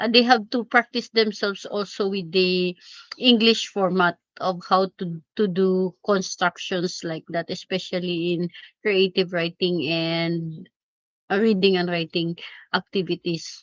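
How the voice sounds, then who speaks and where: A woman with a Filipino accent talks at a fairly slow pace and a medium pitch. Her intonation stays fairly even, and the sound is dry and close with no echo. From Philippines. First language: Filipino language. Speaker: teacher and live streamer. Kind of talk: casual live stream chat. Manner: halting.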